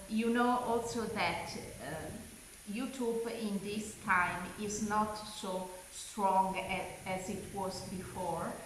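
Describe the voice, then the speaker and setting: With an Italian accent, a woman speaks at a medium pitch with fairly even intonation, amid audible room echo and noticeable background noise. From Italy. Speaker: crochet YouTuber. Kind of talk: personal announcement to viewers. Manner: halting, many fillers.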